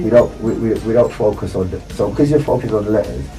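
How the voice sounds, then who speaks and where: A man talks fairly quickly. Music can be heard behind him. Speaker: author, public speaker, founder of a speakers club. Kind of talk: live radio interview answer, explanatory talk. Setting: radio studio.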